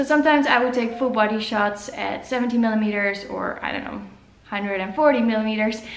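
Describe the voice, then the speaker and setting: The speaker has a Dutch accent and ordinary pitch variation. Audible room echo and noticeable background noise fill the recording. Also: woman. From Netherlands. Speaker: photographer. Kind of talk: vlog talk to camera. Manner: casual, filler-heavy.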